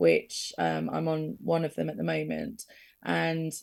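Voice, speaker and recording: On a very clean recording with a silent background, a woman speaks with an English accent. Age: 30s. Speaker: guest with rare illnesses, podcaster. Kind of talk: radio interview. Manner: halting.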